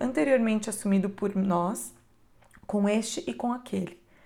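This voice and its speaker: The speaker has a calm, warm tone, somewhat breathy, at a moderate pace with ordinary pitch variation. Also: woman. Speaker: audiobook narrator. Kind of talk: audiobook reading of an inspirational text. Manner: calm, reflective, measured; warm, earnest, intimate.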